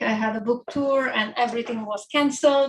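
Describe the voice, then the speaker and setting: A woman talks at a high pitch with an Italian accent and ordinary pitch variation. Her pace is moderate, and there is noticeable background noise. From Italy, island of Giglio, Tuscany. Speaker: author. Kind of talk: book talk. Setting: bookstore event with live audience.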